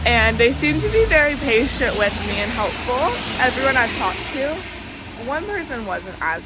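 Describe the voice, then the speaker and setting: Recorded with audible room echo and noticeable background noise, a woman speaks with an American accent. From United States. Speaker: student vlogger. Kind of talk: casual vlog. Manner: chatty, filler-heavy.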